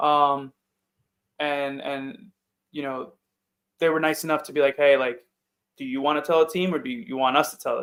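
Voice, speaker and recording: Speaking in a New York accent, a man with a fairly high voice keeps a moderate pace and ordinary pitch variation. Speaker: football player. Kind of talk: interview. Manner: loud.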